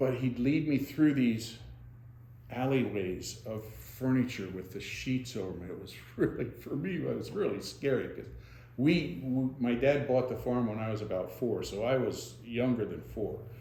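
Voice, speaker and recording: A man with an American accent speaks at a medium pitch with a dark, mellow tone and vocal fry. His loudness swings widely. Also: ordinary pitch variation, moderate pace. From Monroe County, Pennsylvania. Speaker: retired dentist. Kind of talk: oral history interview answer.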